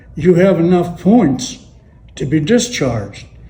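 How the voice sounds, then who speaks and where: With a Western Pennsylvania accent, a man speaks at a fairly slow pace with high pitch and lively intonation. Music plays in the background. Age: 80s+. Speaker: World War II Navy veteran. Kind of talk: interview answer.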